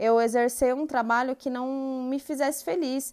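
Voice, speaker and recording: A woman speaks at a moderate pace in a high pitch. Her tone is dark and mellow. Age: 20s. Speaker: integrative therapist and podcast host. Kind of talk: personal monologue. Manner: hesitant, many fillers.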